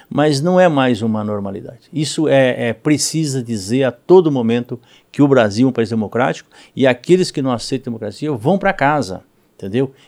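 Recorded very cleanly against a silent background, a man speaks at a medium pitch. His pace is fairly quick and his intonation lively. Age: 50s. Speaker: politician. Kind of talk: interview. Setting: studio. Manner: halting, many repetitions and fillers.

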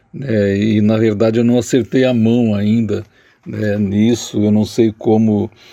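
A man speaks at a fairly slow pace in a fairly low, dark, mellow voice, with fairly even intonation and very even loudness. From southern Brazil, Jaguarão on the Uruguay border. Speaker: poet. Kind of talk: interview. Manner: hesitant, repeats words.

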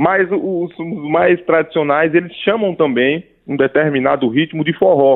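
An unremarkable speaking voice from a man, fairly high in pitch, with ordinary pitch variation at a fairly slow pace. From Paraíba, Brazil. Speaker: pianist. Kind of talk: casual interview. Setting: radio studio.

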